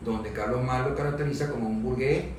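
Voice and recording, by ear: With audible room echo behind him, a man speaks at a fairly quick pace in a medium pitch with fairly even intonation.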